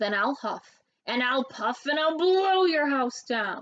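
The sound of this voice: In a put-on character voice, a woman bellows at a slow pace with lively intonation. Her pitch is high and her tone fairly bright.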